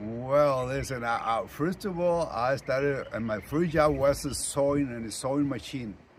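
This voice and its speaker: With a Spanish accent, the speaker talks at a moderate pace with ordinary pitch variation and hardly any pauses. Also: man, fairly high pitch for a man. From Mexico, rural ranch town. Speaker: retired sanitation worker and union shop steward. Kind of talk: interview. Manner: halting.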